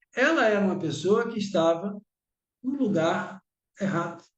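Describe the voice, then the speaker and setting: With a high pitch and lively intonation, a man speaks at a fairly slow pace. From Bahia, Brazil. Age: 60s. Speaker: lecturer. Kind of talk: lecture.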